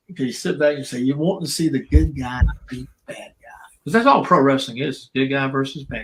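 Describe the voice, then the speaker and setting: A man with a South Carolina accent, fairly high in pitch, at a fairly quick pace with big swings in loudness. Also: ordinary pitch variation. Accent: Southern US (South Carolina). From US South. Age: 70s. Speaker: retired professional wrestler. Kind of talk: casual interview chat.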